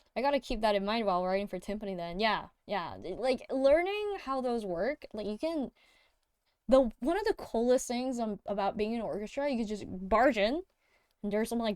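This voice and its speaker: Intonation here is lively. The pace runs fairly quick. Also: woman. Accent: non-native. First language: not English. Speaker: music producer streamer. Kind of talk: casual livestream chat. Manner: halting, many fillers and restarts.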